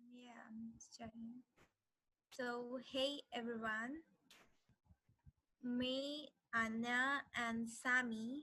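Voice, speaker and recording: Bright and sharp in tone, a woman's high voice stays monotone and flat, with big swings in loudness. She talks at a very slow pace, with long, frequent pauses. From India. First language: Hindi. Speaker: language workshop teacher. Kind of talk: lecture.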